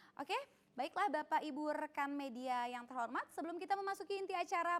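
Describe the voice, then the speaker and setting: A woman's lively, rising-and-falling delivery at a fairly quick pace. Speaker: event emcee. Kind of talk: press conference hosting. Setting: online press conference streamed live. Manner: fast; animated.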